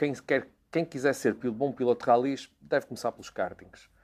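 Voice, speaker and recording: Speech proceeds at a moderate rate. It is a very clean recording, and the background is silent. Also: man. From Portugal, Porto. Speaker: racing driver. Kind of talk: interview monologue. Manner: hesitant, repeats words.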